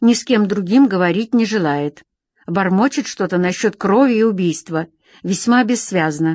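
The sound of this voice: Unforced reading in quiet surroundings.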